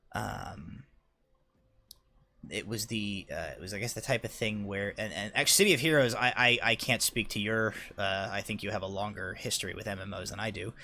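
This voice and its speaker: A man talks at a fairly quick pace in a bright, sharp tone. His pitch is fairly low, with ordinary variation. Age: 30s. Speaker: gaming video host. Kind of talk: casual chat while playing a game. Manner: halting, many fillers and restarts.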